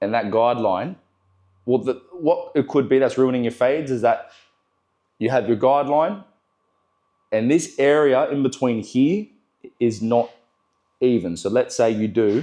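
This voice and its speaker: An Australian-accented man talks at a moderate pace and medium pitch, his tone dark and mellow. His intonation is lively, broken by long, frequent pauses. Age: 20s. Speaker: barber. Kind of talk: tutorial. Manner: casual, filler-heavy.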